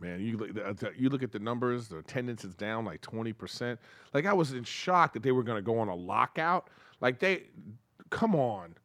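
A normal speaking voice from a man at a medium pitch, fairly quick and lively in intonation, on a very clean recording with a silent background. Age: 50s. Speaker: comedian and podcaster. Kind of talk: casual chat.

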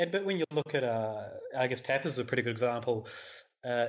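A man in a New Zealand accent talks at a fairly quick pace. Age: 30s. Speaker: beer writer and podcaster. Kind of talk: interview.

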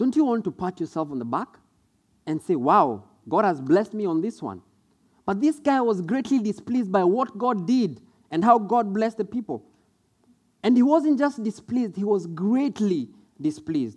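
A man with a Kenyan accent and a high pitch speaks at a moderate pace, his pitch swinging very widely between long, frequent pauses. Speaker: preacher. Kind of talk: sermon. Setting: church.

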